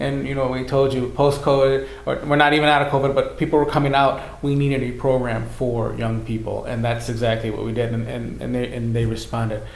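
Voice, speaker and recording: A man with an American accent at a fairly quick pace, hardly any pauses, audible room echo and noticeable background noise. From US Midwest, Racine, Wisconsin. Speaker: youth minister. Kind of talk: casual chat. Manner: halting, many repetitions.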